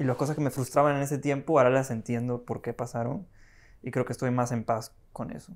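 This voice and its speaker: This man talks at a fairly quick pace. His pitch is medium, with ordinary variation. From Peru. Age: 20s. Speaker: assistant director, film school graduate; podcast guest. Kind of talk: casual chat. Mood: relaxed, reflective. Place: home room. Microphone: lapel.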